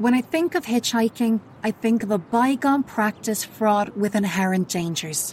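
This woman has an ordinary speaking voice, a fairly high pitch, lively intonation and very even loudness. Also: moderate pace. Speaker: true crime podcaster. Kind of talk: true-crime narration, scripted and sombre. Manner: grave, measured, solemn; steady, unsensational.

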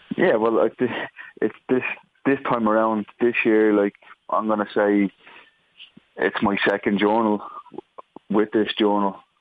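Speaking in an Irish accent, a man talks at a fairly slow pace with a fairly low pitch and flat, monotone intonation. He pauses long and often, and his loudness stays very even. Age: 30s. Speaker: footballer. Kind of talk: interview. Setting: phone call.

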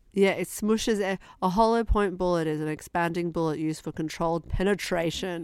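A woman's fairly low voice, fairly even in intonation, at a fairly quick pace. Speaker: podcast co-host. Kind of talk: casual chat. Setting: remote call, in a cupboard. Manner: monotone.

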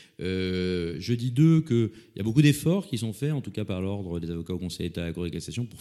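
Very wide pitch swings in a man's dark, mellow voice. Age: 50s. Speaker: lawyer. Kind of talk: interview. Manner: repetitive stammering restarts.

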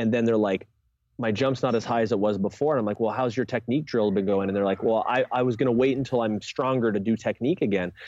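Here is a man with an ordinary speaking voice. His pitch is medium, and it varies in an ordinary way. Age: 30s. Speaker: strength coach and jump specialist. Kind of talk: podcast interview.

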